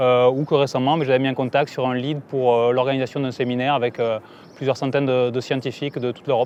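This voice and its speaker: In a southern French accent, a man talks at a very fast pace. His medium-pitched voice stays monotone, with flat intonation. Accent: southern French accent, noticeable. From southern France, Aveyron. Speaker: entrepreneur. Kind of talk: interview monologue.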